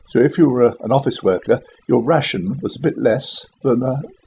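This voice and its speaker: Speaking at a moderate pace with a southern English accent, a man uses lively intonation at a medium pitch. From West London, England. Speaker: Second World War childhood witness. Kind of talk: interview answer. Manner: casual, conversational.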